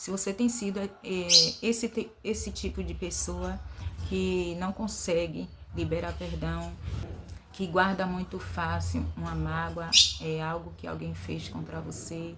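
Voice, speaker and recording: A woman speaks at a fairly slow pace, leaving long, frequent pauses. Audible room echo surrounds her voice. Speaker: vlogger. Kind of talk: inspirational talk. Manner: hesitant fillers.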